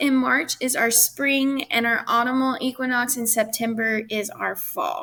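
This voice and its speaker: A woman speaks at a moderate pace in a high pitch with a bright, sharp tone, in a very clean recording with a silent background. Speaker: school teacher. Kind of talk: recorded lesson with slides.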